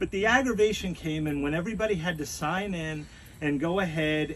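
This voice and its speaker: This man talks loudly at a high pitch, with ordinary pitch variation. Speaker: resident speaking at neighborhood meeting. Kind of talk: town hall comment.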